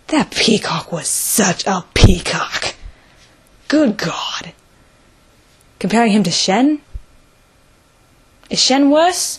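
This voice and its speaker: The whispering comes at a very slow pace, with long, frequent pauses. Noticeable background noise sits under it. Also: woman. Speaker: video reviewer. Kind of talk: casual video review monologue. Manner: animated.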